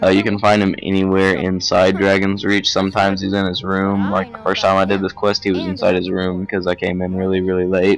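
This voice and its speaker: Fairly quick, nearly pauseless speech from a man, very deep and low in pitch, monotone and flat, against noticeable background noise. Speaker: gaming video creator. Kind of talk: game tutorial commentary. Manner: loud; casual, rambling.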